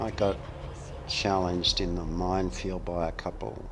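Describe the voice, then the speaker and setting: Over noticeable background noise, a man speaks with an Australian accent. His pitch is very deep and low, and his pace is fairly slow. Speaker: gaming streamer. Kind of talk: casual chat. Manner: halting.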